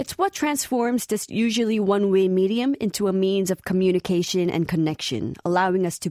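At a moderate pace, a woman with a medium pitch and a dark, mellow tone is heard in dry, close sound with no echo on a very clean recording with a silent background. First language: Korean. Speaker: radio DJ. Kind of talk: radio show presenting.

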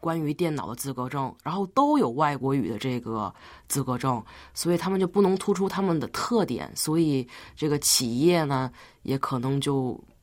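On a very clean recording with a silent background, a woman with a very deep, low pitch speaks at a moderate pace with lively intonation. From Tianjin, China. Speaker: university student. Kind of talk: radio interview.

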